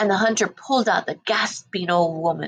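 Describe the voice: Ordinary pitch variation during plain reading aloud.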